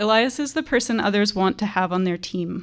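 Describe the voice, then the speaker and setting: A soft-spoken woman talks at a fairly quick pace with ordinary pitch variation, in a very clean recording with a silent background. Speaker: teacher. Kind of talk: graduation speech.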